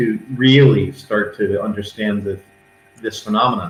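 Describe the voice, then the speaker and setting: A man talks at medium pitch in a somewhat breathy voice. He goes at a fairly slow pace. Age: 60s. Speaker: paranormal investigator. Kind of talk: interview.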